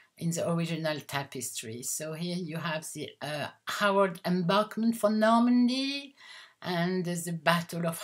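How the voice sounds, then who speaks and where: A woman's somewhat breathy voice with a French accent, fairly low in pitch and fairly slow in pace. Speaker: haberdashery owner and designer. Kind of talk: product presentation. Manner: halting.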